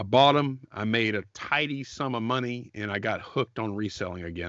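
At a moderate pace, this man uses an unremarkable speaking voice with ordinary pitch variation. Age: 40s. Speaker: podcast co-host, online reseller. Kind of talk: casual chat.

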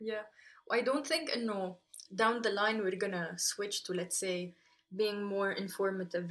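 A woman speaks at a medium pitch with fairly even intonation. She has an unremarkable speaking voice. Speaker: podcast host. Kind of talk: casual chat, code-switching Arabic and English.

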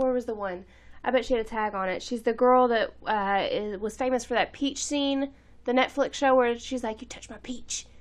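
In a playful tone, a woman speaks at a high pitch and a moderate pace. Her intonation is fairly even, and the background is quiet. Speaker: podcast co-host. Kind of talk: casual chat. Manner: joking, playful.

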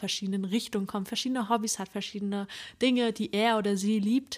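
The recording is very clean, with a silent background. A woman speaks at a medium pitch in a monotone, flat intonation. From northeastern Germany, Usedom. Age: 20s. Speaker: psychology student, podcast co-host. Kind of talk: casual chat. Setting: sitting together on the floor in one room.

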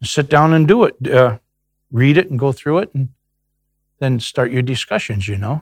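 Somewhat breathy, a man talks with lively intonation and long, frequent pauses, in a dry, close sound with no echo. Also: medium pitch for a man, moderate pace. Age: old. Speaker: church small group member. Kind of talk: testimony. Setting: replayed recorded interview.

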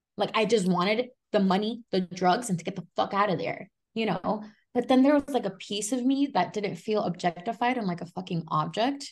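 A woman talks at a fairly quick pace in a somewhat breathy voice, medium in pitch with ordinary variation. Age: 20s. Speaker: author and recovering addict. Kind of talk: casual interview, personal testimony.

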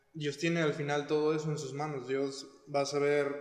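Amid noticeable background noise and audible room echo, a man with a fairly high pitch talks at a moderate pace. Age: 20s. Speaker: church worship team member, designer. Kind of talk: casual chat.

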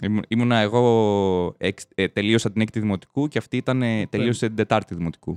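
A man with a fairly low pitch talks at a moderate pace, with hardly any pauses. The sound is dry and close with no echo, the background quiet. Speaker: podcast host. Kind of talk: casual chat. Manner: animated.

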